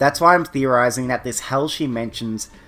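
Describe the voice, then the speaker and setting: Music plays behind a man speaking at a medium pitch. His pace is fairly quick, and his pitch varies in an ordinary way. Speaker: webcomic discussion youtuber. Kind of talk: scripted commentary.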